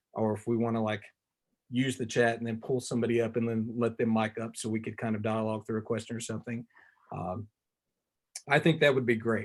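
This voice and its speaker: A man with a Tennessee accent talks at a very fast pace. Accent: Southern US (Tennessee). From US South, Tennessee. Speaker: visual artist. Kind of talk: artist talk presentation. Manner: animated.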